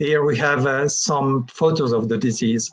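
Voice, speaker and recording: The man's pitch is medium and his intonation fairly even. He talks at a fairly slow pace. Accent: French. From France. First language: French. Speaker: plant pathologist. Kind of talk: lecture. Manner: halting.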